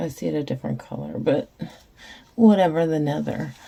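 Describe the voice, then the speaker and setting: A woman's very deep, low voice over noticeable background noise. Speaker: resin crafter. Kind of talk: tutorial. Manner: slow.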